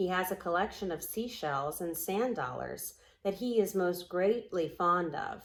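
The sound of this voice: A reader talks in an unforced reading voice, and the pitch moves in an ordinary way.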